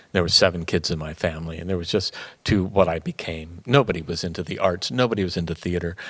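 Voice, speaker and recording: At a moderate pace, a man speaks with a very deep, low pitch in a very clean recording with a silent background. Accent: Midwestern. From US Midwest, Canton, Ohio. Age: 70s. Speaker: theater artistic director, former actor. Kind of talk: interview conversation.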